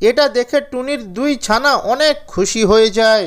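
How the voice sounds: With ordinary pitch variation, a woman with a fairly high pitch speaks at a fairly slow pace.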